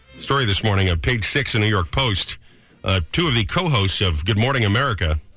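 Music plays in the background as the speaker talks at a fairly quick pace with very wide pitch swings and very even loudness. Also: man, fairly low pitch for a man. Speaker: morning radio co-host. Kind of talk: casual chat. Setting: studio. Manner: fast talker.

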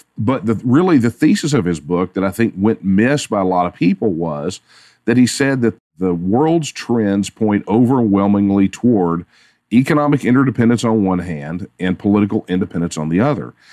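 In a Texan accent, a man with a fairly low pitch and a dark, mellow tone speaks at a moderate pace with lively intonation, the sound dry and close with no echo over a quiet background. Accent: Texan Southern US. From Texas. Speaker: political activist. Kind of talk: interview.

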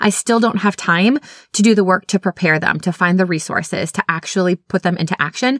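A woman with an animated tone speaks at medium pitch and a fairly quick pace, with ordinary pitch variation and very even loudness, in a dry, close sound with no echo on a very clean recording with a silent background. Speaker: literacy specialist and podcast host. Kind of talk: solo educational podcast monologue. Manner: fast.

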